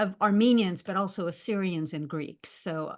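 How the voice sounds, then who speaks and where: Against a quiet background, we hear an ordinary speaking voice. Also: woman. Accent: American. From US, Los Angeles. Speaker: professor. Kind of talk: panel discussion.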